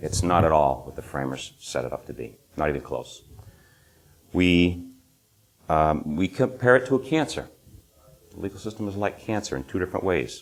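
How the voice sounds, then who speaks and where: A man with a New England accent speaks at a very deep, low pitch with very wide pitch swings and big swings in loudness. He leaves long, frequent pauses. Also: moderate pace. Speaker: legal system critic, presenter. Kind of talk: conference presentation. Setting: stage with small audience. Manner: informal, relaxed.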